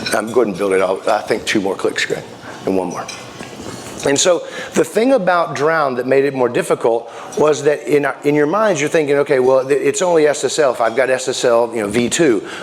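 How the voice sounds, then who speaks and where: Over noticeable background noise, a man talks at a fairly quick pace, his fairly high pitch carrying lively intonation. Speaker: security sales engineer presenter. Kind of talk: conference presentation. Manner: fast; casual, conversational with fillers.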